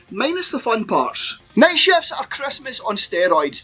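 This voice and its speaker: Over music in the background, a man with a Scottish accent uses a raised, projected voice with very wide pitch swings. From Scotland. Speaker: comedian. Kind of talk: comedy rant.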